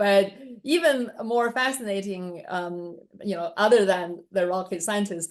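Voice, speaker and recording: A woman with a Chinese accent at a moderate pace, ordinary pitch variation, and a quiet background. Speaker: interviewer. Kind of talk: interview.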